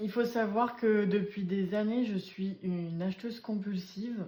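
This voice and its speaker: Very slowly, a woman speaks at a medium pitch in a dark, mellow, somewhat breathy tone with ordinary pitch variation. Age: 20s. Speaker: budgeting vlogger. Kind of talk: casual tutorial. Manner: hesitant, many fillers.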